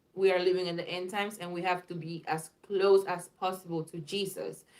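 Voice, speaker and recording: A woman speaks with a non-native accent. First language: not English. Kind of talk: live video, dream testimony. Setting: live video stream. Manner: casual, repetitive with fillers.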